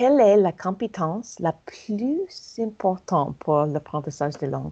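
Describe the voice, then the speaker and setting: A woman with an American accent, medium pitch, lively intonation and a fairly slow pace. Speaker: language coach and acupuncturist. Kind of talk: casual interview. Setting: in a car. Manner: halting; bubbly.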